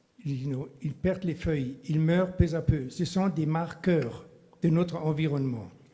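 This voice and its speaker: A man's very slow voice, fairly high-pitched for a man, with a dark, mellow tone. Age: 70s. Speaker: local resident questioning a project. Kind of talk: public hearing statement. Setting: public debate meeting.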